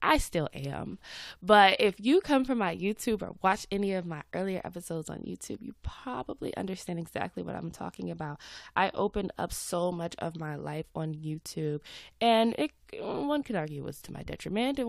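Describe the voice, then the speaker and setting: Speaking at a fairly quick pace with an American accent, a woman sounds animated, her pitch swinging very widely and her loudness rising and falling a lot, on a very clean recording with a silent background. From US South, Atlanta. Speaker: podcast host and social media creator. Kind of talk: casual chat.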